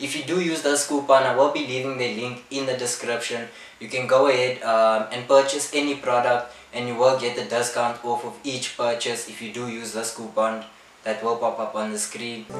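A man speaks in a monotone, flat intonation with audible room echo. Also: moderate pace. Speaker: barber youtuber. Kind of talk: casual vlog chat. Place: home room.

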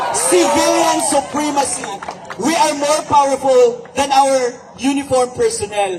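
Over crowd noise in the background, a man with an extremely high pitch speaks at a fairly slow pace with lively intonation. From Visayas. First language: Cebuano (speaking Tagalog). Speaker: online writer. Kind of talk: rally speech. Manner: code-switching English and Tagalog.

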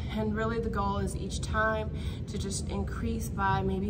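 Through loud background noise, a woman talks at a moderate pace. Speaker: fitness instructor. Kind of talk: tutorial. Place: gym. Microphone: camera far.

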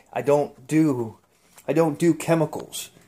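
With light background noise, a man talks in a dark, mellow tone. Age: 50s. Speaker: home cook vlogger. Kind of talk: casual talk to camera. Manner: enthusiastic, casual.

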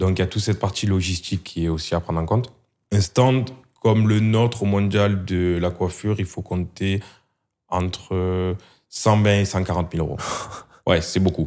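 Against a quiet background, a man with a very deep, low pitch talks at a fairly slow pace in fairly even intonation, leaving long, frequent pauses. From southern France. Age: 30s. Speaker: hair clipper brand marketing employee; guest. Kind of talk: casual interview. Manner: hesitant, many fillers. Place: studio. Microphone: studio mic.

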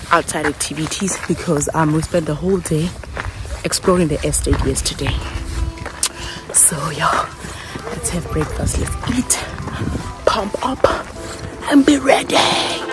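Delivered at a fairly slow pace with long, frequent pauses, the voice has a dry sound with no echo while clear music plays in the background. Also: woman. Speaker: travel vlogger. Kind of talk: casual vlog chat. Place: open country. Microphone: phone near.

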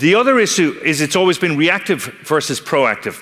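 Very fast and with very wide pitch swings, a man speaks with an Irish accent. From Ireland. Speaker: technology company speaker on analytics and fraud; speaker. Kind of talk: conference talk. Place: stage.

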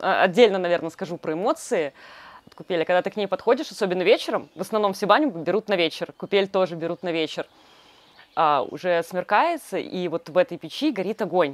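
Speaking at a fairly quick pace, a woman uses ordinary pitch variation in a dry recording with no echo. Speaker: glamping co-founder. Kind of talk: guided tour. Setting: outdoors. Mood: warm, enthusiastic. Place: garden.

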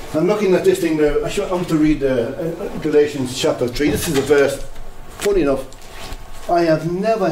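The speaker talks at a fairly quick pace with ordinary pitch variation. There is audible room echo along with light background noise. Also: man. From Ireland, Drogheda; Ireland. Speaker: lay preacher. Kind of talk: sermon. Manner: animated. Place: hall.

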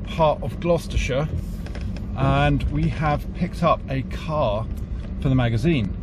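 A man talks at a fairly slow pace, with a dry sound and no echo. Background noise is noticeable. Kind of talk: casual vlog chat. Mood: cheerful, jokey. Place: car. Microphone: phone near.

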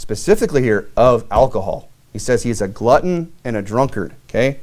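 A man is speaking. The background is quiet. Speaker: preacher. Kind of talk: sermon. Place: church.

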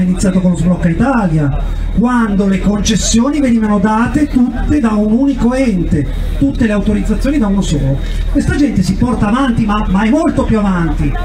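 A man talking at a very fast pace with lively intonation, against noticeable background noise. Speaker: politician at a protest rally. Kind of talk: rally speech. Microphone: handheld.

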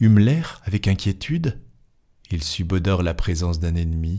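Intonation is lively while the delivery stays fairly slow. The tone is dark and mellow, with some breathiness. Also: man. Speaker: audiobook narrator. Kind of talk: dramatic literary narration of a Gothic tale, storm and omens. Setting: home studio with microphone. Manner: tense, ominous build-up as the storm and ravens gather; measured, expressive storyteller pacing.

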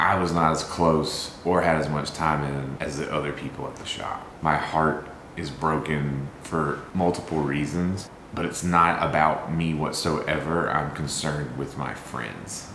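Very deep and low in pitch, a man speaks at a fairly slow pace in a monotone, flat way. Room echo is audible, along with light background noise. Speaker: vlogger. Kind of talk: casual vlog chat. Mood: grieving, somber. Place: kitchen. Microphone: camera far.

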